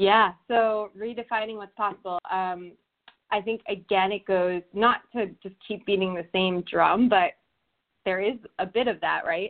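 A woman with an American accent uses a normal speaking voice, talking at a fairly slow pace with fairly even intonation. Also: medium pitch for a woman. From New Jersey. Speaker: personal growth coach. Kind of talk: casual interview chat.

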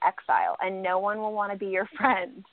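At a moderate pace, a woman speaks at a medium pitch in an unremarkable speaking voice. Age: 30s. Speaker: reality TV alumna, guest host. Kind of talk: casual chat.

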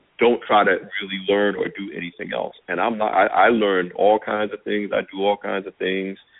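Fairly quick speech from a man, in an American accent. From New Jersey, Jersey Shore (Long Branch). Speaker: media executive. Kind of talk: interview.

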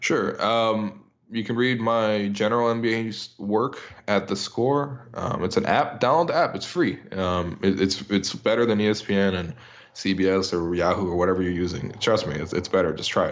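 Here a man has an ordinary speaking voice with fairly low pitch. He speaks at a moderate pace with ordinary pitch variation. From Canada. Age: 20s. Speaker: basketball writer. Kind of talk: casual interview.

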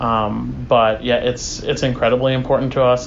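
A man with an American accent talks at a moderate pace. Audible room echo and noticeable background noise fill the recording. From US, small conservative town. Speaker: community center board president. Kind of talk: interview. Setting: community center.

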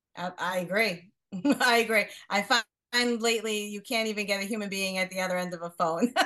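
A woman's bright, sharp voice at a medium pitch, fairly quick in pace and fairly even in intonation. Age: 50s. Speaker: business owner and coach. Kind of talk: casual chat.

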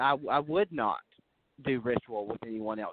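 A man uses an ordinary speaking voice and ordinary pitch variation, talking at a fairly slow pace. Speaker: sound engineer. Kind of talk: casual chat.

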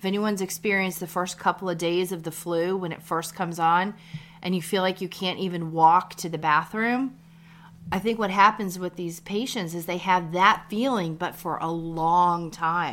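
On a very clean recording with a silent background, a woman speaks at a moderate pace in a fairly low voice with fairly even intonation, a plain, everyday voice. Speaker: nurse practitioner and midwife, podcast co-host. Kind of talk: casual chat. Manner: laughs often, playful.

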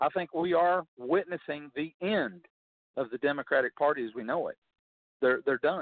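Moderate pace and ordinary pitch variation from a man with a plain, everyday voice pitched fairly high. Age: 50s. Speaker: congressional candidate. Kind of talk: radio interview.

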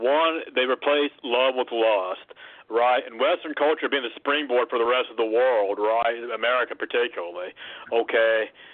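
A plain, everyday voice comes through here. It moves at a moderate pace with ordinary pitch variation. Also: man, medium pitch for a man. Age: 30s. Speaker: caller. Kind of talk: casual chat.

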